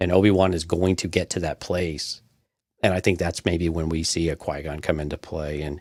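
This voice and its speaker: Speaking at a moderate pace with an American accent, the voice stays monotone and flat, recorded very clean against a silent background with a dry, close sound and no echo. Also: man, very deep, low pitch for a man. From Texas. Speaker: podcast co-host. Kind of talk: casual chat.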